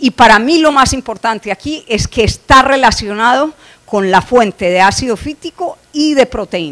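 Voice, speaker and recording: A woman with a high voice talks at a moderate pace with lively intonation. The sound is dry and close, without echo. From Colombia. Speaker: animal nutrition scientist. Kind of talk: conference lecture. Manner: frequent filler hesitations.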